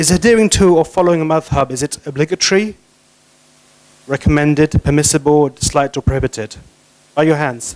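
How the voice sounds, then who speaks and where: Delivered at a very fast pace yet broken by long, frequent pauses, this voice has a non-native accent, ordinary pitch variation, and a dry, close sound with no echo. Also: man. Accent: noticeable foreign. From not Malaysian. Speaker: guest lecturer on Islamic law. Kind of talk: lecture.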